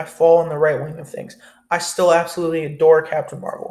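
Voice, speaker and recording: A man's high-pitched voice at a fairly quick pace. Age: young. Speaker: film review youtuber. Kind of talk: casual monologue.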